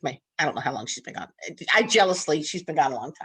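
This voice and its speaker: In a Southern US accent, a woman speaks with vocal fry. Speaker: nursing instructor. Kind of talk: casual chat. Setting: video call. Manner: halting.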